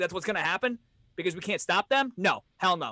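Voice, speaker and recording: Dry and close with no echo, a raised, projected voice with a bright, sharp tone carries ordinary pitch variation. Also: man. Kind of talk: heated sports rant. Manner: emphatic, agitated, repeating points; dismissive, blunt, insistent.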